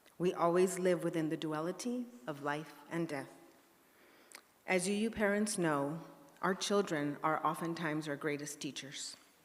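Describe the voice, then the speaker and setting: A woman's fairly low voice at a moderate pace, with ordinary pitch variation, long and frequent pauses, and audible echo from the room. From El Paso, Texas (US-Mexico border). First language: Spanish. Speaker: church member speaker. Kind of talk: personal reflection in a church service. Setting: church sanctuary.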